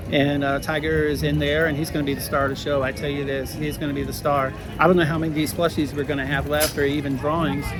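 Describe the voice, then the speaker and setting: A man races along at a very fast pace with hardly any pauses, his fairly high voice monotone and flat. There is audible room echo and noticeable background noise. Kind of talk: casual vlog update. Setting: outdoors at a theme park. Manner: hesitant, many fillers.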